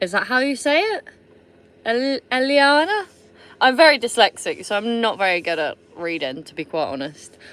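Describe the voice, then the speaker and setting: A woman with a high voice sounds animated, her pitch swinging very widely and her loudness shifting greatly. The recording is very clean, with a silent background. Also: moderate pace. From Somerset, England. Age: 30s. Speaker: vlogger. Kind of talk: casual chat. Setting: livestream from camper van.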